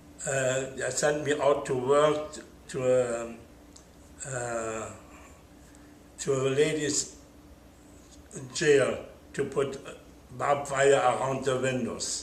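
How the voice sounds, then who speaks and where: A man with a German accent speaks very slowly at a medium pitch, in a monotone, flat intonation with long, frequent pauses. Room echo is audible. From Germany. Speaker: Holocaust survivor. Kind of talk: oral history interview. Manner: halting.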